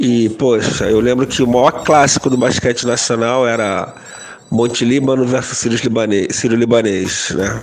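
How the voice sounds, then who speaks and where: With music in the background and audible room echo, the voice moves at a moderate pace in a monotone, flat intonation. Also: man, medium pitch for a man. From Rio de Janeiro, Glória. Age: 50s. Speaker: cultural producer and activist. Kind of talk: recorded audio testimony.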